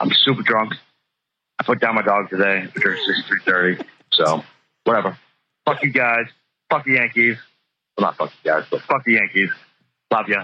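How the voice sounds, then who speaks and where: A man with a medium pitch and a bright, sharp tone talks at a moderate pace, keeping his loudness very even. His pitch varies in an ordinary way, and he takes long, frequent pauses. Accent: American. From Boston area, Massachusetts. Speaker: caller. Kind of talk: casual chat.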